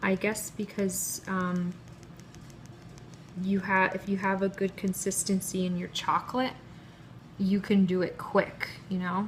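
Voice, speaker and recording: Soft-spoken, a woman talks at a medium pitch and a fairly slow pace. Long, frequent pauses break up her speech. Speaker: cake pop baker. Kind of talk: tutorial. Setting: live stream video.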